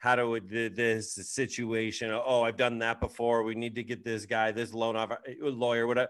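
In a normal speaking voice, a man talks at a moderate pace and medium pitch against a quiet background. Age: 40s. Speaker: podcast host and real estate agent. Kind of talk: casual chat.

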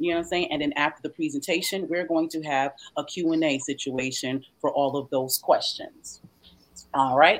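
With a Southern US accent, a woman speaks at a moderate pace in a very deep, low pitch and fairly even intonation. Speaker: show host. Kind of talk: casual promotional chat.

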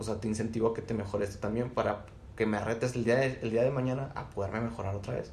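Somewhat breathy at a medium pitch, a man races along at a very fast pace with fairly even intonation amid audible room echo. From Mexico, Chihuahua. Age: 20s. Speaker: community manager. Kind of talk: casual chat.

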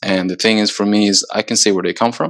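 A man speaks at a fairly quick pace with a Swedish accent. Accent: Swedish-tinged American English. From Sweden, moved to US at 14. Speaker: soccer player. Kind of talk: casual chat. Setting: video call.

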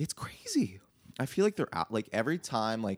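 With an unremarkable speaking voice, a man at medium pitch talks at a fairly quick pace with lively intonation, in a dry, close sound with no echo. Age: 20s. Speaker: musician. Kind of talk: casual chat.

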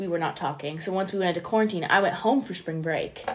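Female voice of medium pitch, with noticeable background noise. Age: 20s. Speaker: podcast co-host. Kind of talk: casual chat.

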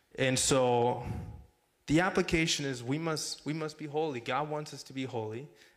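There is audible room echo as a man talks at a moderate pace. His pitch is fairly high, with ordinary pitch variation. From Mexico. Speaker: campus ministry director. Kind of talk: sermon. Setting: church.

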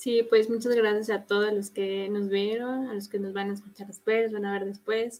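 A woman talks at a moderate pace with hardly any pauses. Her pitch is medium and her intonation monotone and flat. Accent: central Mexican. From Mexico City. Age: 20s. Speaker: graphic designer and volunteer activist. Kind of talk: casual live-stream chat.

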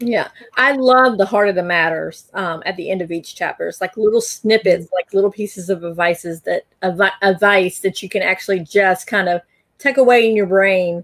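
This woman has a normal speaking voice at a medium pitch. Her pace is moderate and her pitch varies in an ordinary way. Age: 50s. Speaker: podcast host. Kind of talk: interview.

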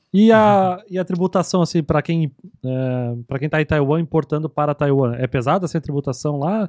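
A normal speaking voice moves at a moderate pace with ordinary pitch variation, recorded dry and close with no echo. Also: man, fairly high pitch for a man. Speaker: podcast host. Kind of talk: casual chat.

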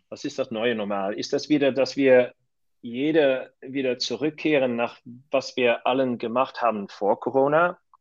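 The background is quiet as a man speaks. His pitch is medium, with ordinary variation. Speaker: hotel company managing director. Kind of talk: interview. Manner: halting.

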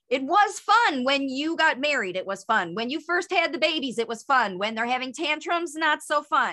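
A woman's raised, projected voice, high in pitch and bright and sharp in tone, with very wide pitch swings at a moderate pace. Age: 50s. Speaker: speech coach, former speech therapist. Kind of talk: interview.

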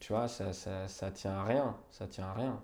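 Fairly even intonation and a dark, mellow tone mark this man's speech. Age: 20s. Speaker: journalist. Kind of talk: casual chat. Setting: at home on a sofa.

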